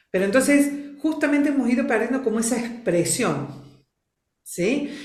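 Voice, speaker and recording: A woman's high, lively voice at a moderate pace, with audible room echo. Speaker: family constellations facilitator. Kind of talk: interview. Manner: expressive.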